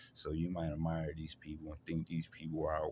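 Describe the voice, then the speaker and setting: Over noticeable background noise, a man with a very deep, low pitch talks at a fairly quick pace. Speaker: vlogger describing personal experiences. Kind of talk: personal testimony monologue. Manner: halting, many fillers and repetitions; struggles to find words.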